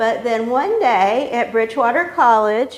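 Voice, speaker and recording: At a very slow pace, a woman talks in a fairly high voice. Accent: American. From western North Carolina. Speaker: author and librarian. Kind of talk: public talk.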